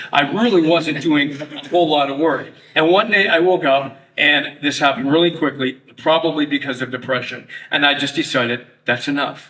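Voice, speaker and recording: Over noticeable background noise, a man with a Canadian accent and a fairly high pitch speaks at a moderate pace. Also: ordinary pitch variation. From Toronto, Canada. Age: 60s. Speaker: retired radio broadcaster. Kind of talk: testimony. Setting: luncheon audience.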